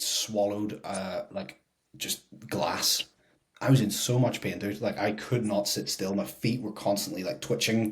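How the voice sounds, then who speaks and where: Delivered at a moderate pace, the voice is somewhat breathy, with ordinary pitch variation. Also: man, fairly low pitch for a man. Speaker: fitness podcast co-host, personal trainer. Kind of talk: casual chat.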